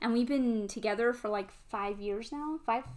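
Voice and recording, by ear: A woman with a Midwestern accent speaks at a moderate pace in a fairly high pitch, her slightly mellow tone carrying ordinary pitch variation. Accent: American Midwestern.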